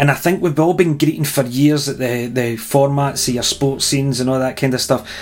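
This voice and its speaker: Talking at a fairly quick pace with hardly any pauses, a man with a Scottish accent uses a fairly high pitch and fairly even intonation. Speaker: wedding band musician, podcast co-host. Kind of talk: casual chat.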